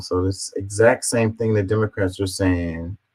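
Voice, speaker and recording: At a moderate pace, a man with an American accent speaks in a very deep, low pitch, somewhat breathy and with monotone, flat intonation. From Houston, Texas. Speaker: political commentary streamer. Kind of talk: reading and reacting to comments. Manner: halting, stumbling over words.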